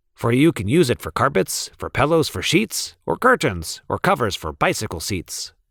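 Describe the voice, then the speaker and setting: A man uses a put-on character voice at a medium pitch, with very wide pitch swings, a moderate pace and hardly any pauses. The sound is dry and close with no echo, in a very clean recording with a silent background. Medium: read story.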